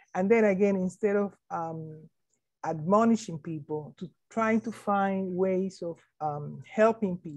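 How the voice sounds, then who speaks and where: A woman with a non-native accent talks at medium pitch with ordinary pitch variation against a quiet background. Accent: foreign accent, kept deliberately. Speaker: education administrator, keynote speaker. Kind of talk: keynote Q&A answers. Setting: conference keynote. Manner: hesitant with fillers.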